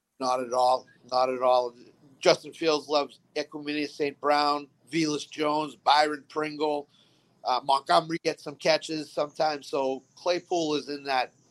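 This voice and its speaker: A man with a Boston accent speaks in a monotone, flat delivery, the sound dry and close with no echo. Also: fairly high pitch for a man, moderate pace. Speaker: fantasy football player. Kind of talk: casual chat.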